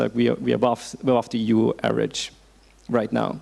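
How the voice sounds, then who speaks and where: Vocal fry from a man speaking at a fairly quick pace. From Austria. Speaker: policy researcher. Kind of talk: panel discussion. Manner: fast.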